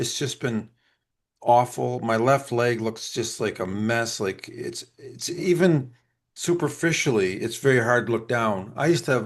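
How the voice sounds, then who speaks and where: Over a quiet background, a man in an ordinary speaking voice talks at medium pitch and a moderate pace with lively intonation. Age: 50s. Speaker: podcast co-host. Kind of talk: casual chat.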